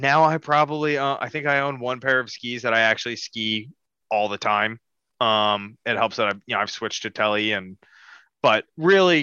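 A man has a plain, everyday voice at a medium pitch, with ordinary pitch variation. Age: 20s. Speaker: podcast co-host. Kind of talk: casual chat.

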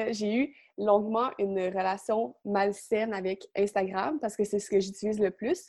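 Using fairly even intonation, a woman with a Quebec accent speaks at a fairly slow pace and a medium pitch. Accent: Québécois French. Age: young. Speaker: illustrator. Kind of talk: interview.

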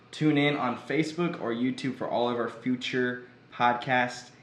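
Audible room echo surrounds a man with a Midwestern American accent. His medium-pitched voice keeps fairly even intonation at a moderate pace. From Missouri, Joplin. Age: 20s. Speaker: podcast host, ministry student. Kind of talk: casual chat.

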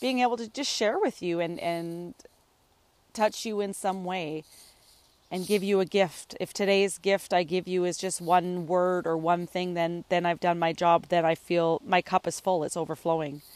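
A woman with an ordinary speaking voice talks at a moderate pace with a Canadian accent. Her pitch is fairly low and her intonation fairly even. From northern British Columbia, Canada. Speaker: podcast host, holistic ecotherapist and coach. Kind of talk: solo podcast monologue.

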